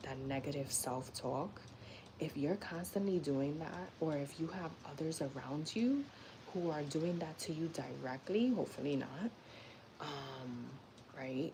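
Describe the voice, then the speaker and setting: In a room with audible echo, a woman with a New York accent speaks at a very deep, low pitch. Her pace is fairly slow, broken by long, frequent pauses. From New York City (Bronx). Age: 30s. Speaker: lifestyle and personal growth live streamer. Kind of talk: casual live-stream talk. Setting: YouTube live stream. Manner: conversational, frequent fillers.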